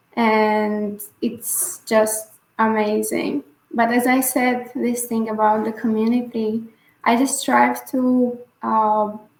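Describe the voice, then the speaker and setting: Music plays in the background as a woman speaks at a very slow pace. Her pitch is fairly high and her intonation fairly even. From Bulgaria. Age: 20s. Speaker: scholar and activist. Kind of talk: interview answer.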